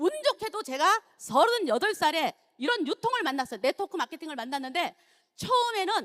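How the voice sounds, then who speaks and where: The voice makes very wide pitch swings at a fairly quick pace. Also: woman. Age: 60s. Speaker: network marketing distributor. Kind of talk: testimony.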